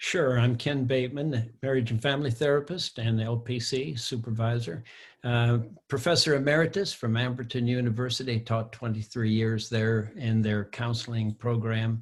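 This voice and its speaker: On a very clean recording with a silent background, a man speaks at a moderate pace in a somewhat breathy, medium-pitched voice, with very even loudness and fairly even intonation. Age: 70s. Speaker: board member, therapist. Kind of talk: casual chat.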